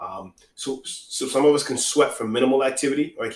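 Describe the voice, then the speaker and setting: A man's an unremarkable speaking voice, medium in pitch, at a fairly quick pace. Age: 30s. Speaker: fitness podcast host. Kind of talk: solo podcast talk. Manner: conversational, repetitive fillers.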